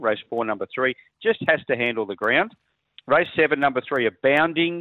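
A man with an Australian accent talks at a fairly quick pace with ordinary pitch variation. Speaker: racing tipster. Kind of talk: race preview and tips, casual chat. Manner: relaxed, conversational, confident.

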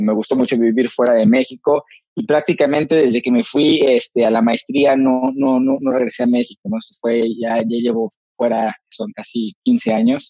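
A man with a Mexican accent speaks at medium pitch in a dark, mellow tone. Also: ordinary pitch variation, moderate pace. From Mexico. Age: 40s. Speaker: Ironman triathlete and businessman. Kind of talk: interview conversation.

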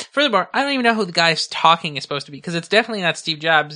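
Against a quiet background, a man with a high pitch and a bright, sharp tone uses a raised, projected voice. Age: 20s. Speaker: podcast host. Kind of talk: casual chat.

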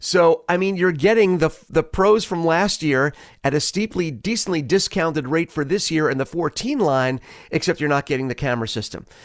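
On a very clean recording with a silent background, a man with a normal speaking voice talks at a fairly high pitch and a fairly quick pace with lively intonation. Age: 50s. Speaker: tech podcast co-host. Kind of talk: casual chat.

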